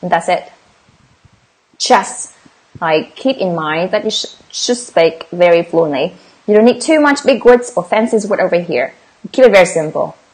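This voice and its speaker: Very wide pitch swings and long, frequent pauses from a woman with a Vietnamese accent. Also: medium pitch for a woman, moderate pace. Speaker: English exam teacher. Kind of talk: livestream tutorial. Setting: livestream. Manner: casual.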